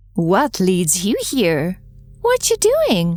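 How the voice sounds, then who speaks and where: At a medium pitch, a woman performs a put-on character voice. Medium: audio drama. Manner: evasive, coy.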